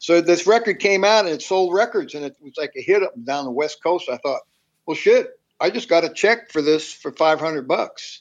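The pace is moderate. Intonation is lively throughout. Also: man, high pitch for a man, big swings in loudness. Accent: American. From New York and Tennessee, later California. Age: 70s. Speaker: musician. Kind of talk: casual chat. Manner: halting, with many fillers.

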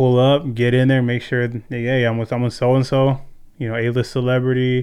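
A man with a Californian accent, medium pitch, very fast delivery and flat, monotone intonation. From California, Ventura. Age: 30s. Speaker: security professional. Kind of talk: casual chat.

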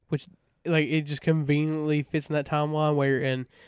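Speaking with a Southern US accent at a moderate pace, a man with a fairly high pitch comes through on a very clean recording with a silent background. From US South. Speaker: podcast co-host. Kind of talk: casual chat.

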